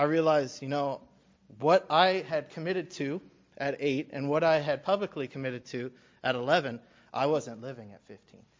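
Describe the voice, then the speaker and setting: A man with an American accent, fairly quick pace and ordinary pitch variation. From Alabama, US South. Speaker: church worship leader, new deacon. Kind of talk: testimony. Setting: church. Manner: halting.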